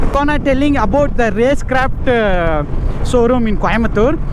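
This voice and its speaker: A man with a Tamil Nadu accent and an extremely high pitch, ordinary pitch variation, a moderate pace, audible room echo and noticeable background noise. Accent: Tamil Indian English. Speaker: motorcycle vlogger. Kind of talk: casual vlog narration. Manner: hesitant, many fillers.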